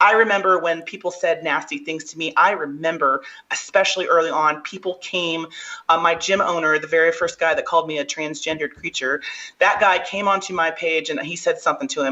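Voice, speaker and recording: Over noticeable background noise, a woman with a fairly low pitch speaks very fast in an animated tone. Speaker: strongwoman athlete. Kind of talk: podcast interview.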